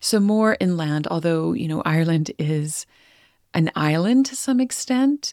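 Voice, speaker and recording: Spoken at a fairly slow pace with a Western Canadian accent, the voice has a dry, close sound with no echo. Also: woman. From Canada, Northern Alberta. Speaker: podcast host. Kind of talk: personal monologue.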